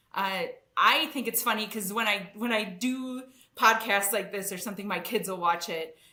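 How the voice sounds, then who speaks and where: The speaker is a woman with a Wisconsin accent. Room echo is audible. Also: ordinary pitch variation, moderate pace. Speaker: engineering executive. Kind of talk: podcast interview. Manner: casual, with many fillers.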